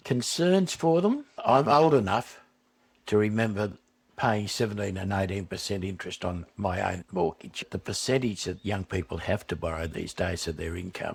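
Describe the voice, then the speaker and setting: Somewhat breathy, a man with an Australian accent speaks at a moderate pace and fairly low pitch with ordinary pitch variation. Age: 60s. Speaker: retiree, swing voter. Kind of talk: documentary interview.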